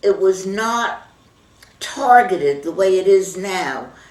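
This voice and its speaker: A woman's lively intonation at a very slow pace, with noticeable background noise. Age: 80s+. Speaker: grandmother voter. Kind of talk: interview answer.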